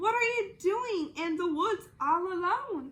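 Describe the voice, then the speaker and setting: A woman does a put-on character voice, growling at an extremely high pitch. She moves at a fairly slow pace. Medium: read story.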